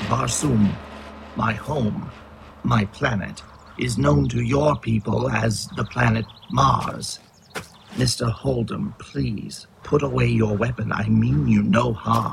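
A man uses a put-on character voice at a medium pitch with very wide pitch swings. His pace is fairly slow. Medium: audio drama. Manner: formal, measured.

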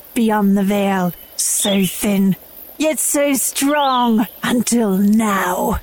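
Very slow put-on character voice, female-sounding, at a medium pitch for a woman. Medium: audio drama. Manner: imperious, formal.

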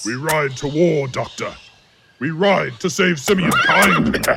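A man puts on a character voice at a fairly high pitch. He speaks at a fairly slow pace. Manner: booming, belligerent.

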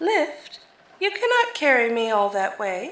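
A woman uses a put-on character voice, high-pitched and at a fairly slow pace. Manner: gentle, innocent, puzzled.

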